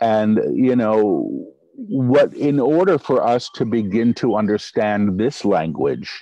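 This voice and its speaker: Against a quiet background, a man speaks very slowly with hardly any pauses and very even loudness, in a dry sound with no echo. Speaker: channeler. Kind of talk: interview answer. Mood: relaxed, reflective. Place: garden. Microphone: video call.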